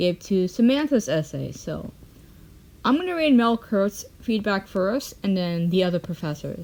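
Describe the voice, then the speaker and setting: This woman has a plain, everyday voice at medium pitch. Her intonation is lively and her pace fairly slow. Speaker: commentary youtuber. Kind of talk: reading aloud.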